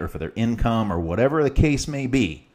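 A man speaks at a fairly quick pace. He has an American accent. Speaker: podcast host and business consultant. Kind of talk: angry rant, solo monologue. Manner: passionate, forceful, fired-up; blunt, defiant, unfiltered.

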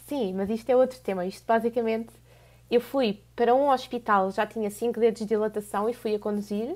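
The recording is very clean, with a silent background. A woman speaks at a fairly quick pace in a fairly high pitch, with fairly even intonation. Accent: European Portuguese. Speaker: podcast co-host. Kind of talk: casual chat.

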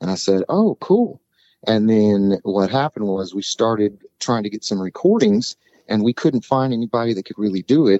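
A man with an ordinary speaking voice, fairly low in pitch, with ordinary pitch variation at a moderate pace. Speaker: singer-songwriter. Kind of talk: casual interview chat.

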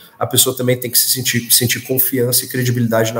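Speaking at a very fast pace, a man is heard over noticeable background noise. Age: 20s. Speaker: construction company executive. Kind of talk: business interview.

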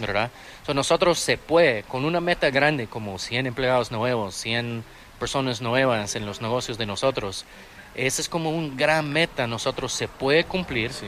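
The man speaks at a moderate pace, his medium-pitched voice showing ordinary pitch variation. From Austin, Texas. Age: 30s. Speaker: restaurant owner and entrepreneur. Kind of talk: interview. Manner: halting.

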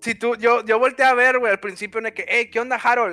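A man's raised, projected voice, bright and sharp in tone, on a very clean recording with a silent background. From Mexico. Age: 20s. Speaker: gaming streamer. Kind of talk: casual chat. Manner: animated.

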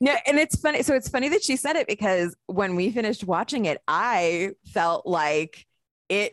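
A woman talks at a moderate pace with a fairly high pitch and very wide pitch swings. Her loudness stays very even, and the sound is dry and close with no echo. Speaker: film podcast co-host. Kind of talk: casual chat.

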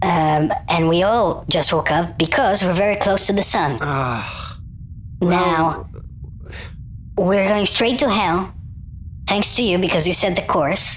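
A squeaky put-on character voice sits at middle pitch and moves at a fairly slow pace. Long, frequent pauses break it up over clear background noise. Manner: scolding, accusatory.

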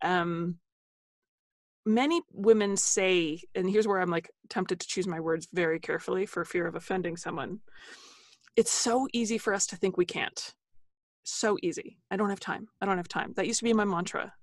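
In a quiet background, a woman with an ordinary speaking voice talks at a moderate pace in a medium pitch with ordinary pitch variation. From New Jersey, US. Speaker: dietitian and author. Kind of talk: casual interview conversation. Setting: video call, recording from closet.

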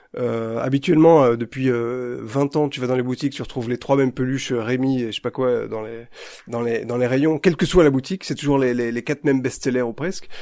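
At a fairly quick pace, the voice has a dark, mellow tone and fairly even intonation. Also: man, medium pitch for a man. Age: 40s. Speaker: podcast host. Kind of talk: casual chat.

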